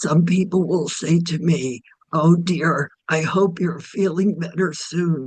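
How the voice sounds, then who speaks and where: A woman's somewhat breathy voice at a very slow pace, with fairly even intonation. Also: fairly low pitch for a woman. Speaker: patient advocate. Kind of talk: presentation. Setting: video call.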